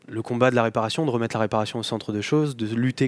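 A man speaks at a very fast pace and medium pitch. The sound is dry and close, with no echo. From Normandy, France (Cotentin, near Cherbourg). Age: 30s. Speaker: appliance repair business owner. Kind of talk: interview. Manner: hesitant, many repetitions and fillers.

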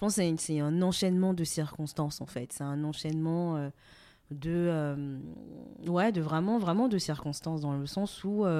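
A dark, mellow tone from a woman, fairly low in pitch, at a fairly slow pace with ordinary pitch variation. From Benin, Cotonou. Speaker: fashion brand co-founder. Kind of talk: interview. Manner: hesitant, many fillers.

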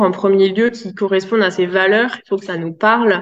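The woman's voice is medium in pitch, and her intonation is fairly even. She keeps to a moderate pace. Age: 30s. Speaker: positive parenting specialist. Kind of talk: interview. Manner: hesitant, many fillers.

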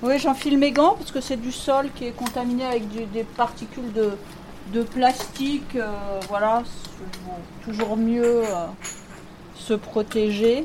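A woman's very slow delivery with long, frequent pauses and ordinary pitch variation, over noticeable background noise. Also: fairly high pitch for a woman. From central France, rural Allier (Bourbonnais). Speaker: university professor and soil researcher. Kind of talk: interview about research and life story. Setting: in her laboratory and office. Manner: hesitant, with fillers and repetitions.

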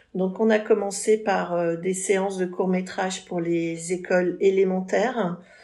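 A woman's medium-pitched voice, fairly slow and flat, with hardly any pauses and noticeable background noise. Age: 50s. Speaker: cultural festival director. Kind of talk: interview.

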